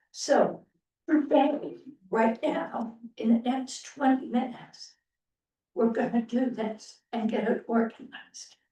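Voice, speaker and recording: A woman speaks loudly at a very slow pace, with long, frequent pauses. Her high-pitched voice has a dark, mellow tone. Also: ordinary pitch variation. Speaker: committee chair. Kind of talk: public meeting discussion.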